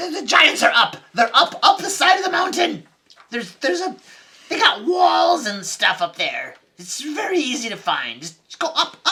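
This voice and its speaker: This put-on character voice has a high pitch and moves at a fairly slow pace. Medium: actual play. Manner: squealing when scared.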